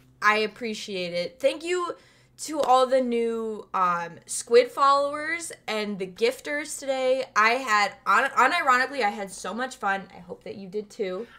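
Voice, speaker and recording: Lively intonation and big swings in loudness mark a woman's high-pitched voice at a fairly slow pace. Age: 20s. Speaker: streamer. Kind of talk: casual chat. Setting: live stream.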